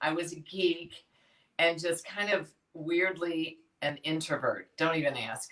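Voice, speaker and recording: A woman speaks with a Chicago accent at a very deep, low pitch. Her pace is very slow, with ordinary pitch variation. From Chicago, US Midwest. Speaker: fitness education company founder. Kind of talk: interview. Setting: live video stream. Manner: animated.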